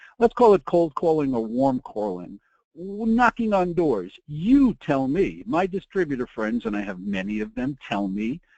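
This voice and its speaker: Pitch swings very widely as a man speaks. The sound is dry and close with no echo, over a quiet background. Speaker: promotional products industry veteran and presenter. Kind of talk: webinar presentation. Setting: online webinar broadcast. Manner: fast; animated.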